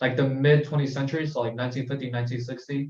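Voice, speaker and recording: The intonation holds fairly even. It is an ordinary speaking voice. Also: man. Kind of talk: casual group discussion about poetry. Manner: casual, conversational.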